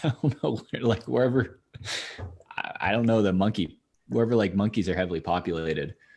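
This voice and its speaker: A man with an unremarkable speaking voice, fairly low in pitch, fairly quick, with lively intonation over a quiet background. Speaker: podcast host. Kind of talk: casual podcast conversation.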